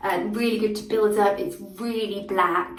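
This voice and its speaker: A woman speaks at a moderate pace with a medium pitch, and audible echo fills the room. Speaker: make-up artist. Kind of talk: product review vlog.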